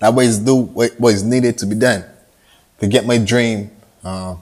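A man speaks with a Barbadian accent. His pace is moderate. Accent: Barbadian (Bajan) Caribbean English. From Barbados. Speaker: upcoming musician giving motivational talk. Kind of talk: motivational monologue. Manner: animated.

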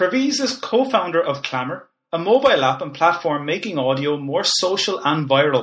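High-pitched man in an Irish accent, moderate pace, very wide pitch swings and hardly any pauses. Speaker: podcast host and lecturer. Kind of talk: interview.

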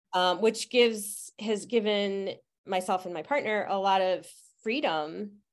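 A woman with an American accent and a plain, everyday voice, at medium pitch and a fairly slow pace, with ordinary pitch variation against a quiet background. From Utica, central New York. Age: 50s. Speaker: herbalist and astrologer. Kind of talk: interview.

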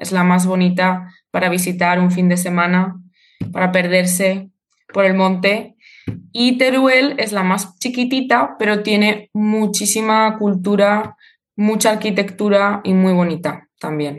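A woman with a normal speaking voice talks at a fairly slow pace and medium pitch with ordinary pitch variation. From Spain, Zaragoza (Aragón). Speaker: Spanish teacher. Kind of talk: interview.

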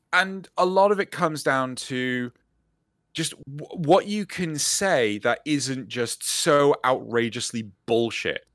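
This man has a fairly high pitch and lively intonation. He speaks at a very slow pace. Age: 30s. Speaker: podcast co-host. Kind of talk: casual chat. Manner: animated.

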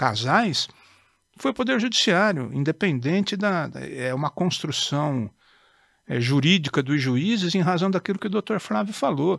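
Lively intonation marks a man's unremarkable speaking voice at a fairly slow pace. The very clean recording has a silent background and a dry, close sound with no echo. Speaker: judge. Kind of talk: casual chat. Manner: formal.

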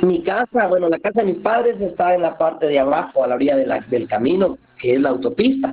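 A man with a high-pitched voice talks at a fairly quick clip with hardly any pauses, his pitch swinging very widely over noticeable background noise. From Guatemala, Santa Lucía near Antigua. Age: 40s. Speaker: community food volunteer. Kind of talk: interview.

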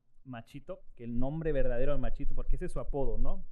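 A man with a fairly high pitch, a very fast pace, and fairly even intonation. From Mexico, Guerrero (Acapulco). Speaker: jazz musician and teacher. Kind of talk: casual chat.

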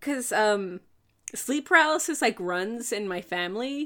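Here is a plain, everyday voice, moving at a fairly slow pace with lively intonation. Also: woman. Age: 20s. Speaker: podcast co-host. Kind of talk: casual chat.

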